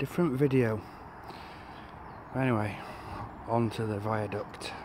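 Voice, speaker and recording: A man at medium pitch, fairly slow, with long, frequent pauses, fairly even intonation and audible room echo. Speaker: magnet fishing vlogger. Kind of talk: outdoor vlog. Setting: outdoors by a river. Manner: loud; casual.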